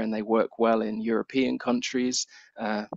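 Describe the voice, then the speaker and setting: Talking at a moderate pace, a man has a British accent and a medium pitch. His intonation is monotone and flat. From Britain. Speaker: science communication researcher and lecturer. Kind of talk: Q&A after a seminar talk.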